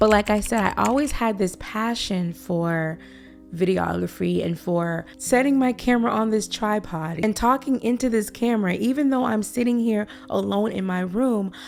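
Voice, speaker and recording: Music plays in the background as a woman speaks. She keeps a moderate pace with lively intonation. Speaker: YouTuber. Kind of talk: casual talk to camera. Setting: alone in her room, camera on tripod. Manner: trips over words.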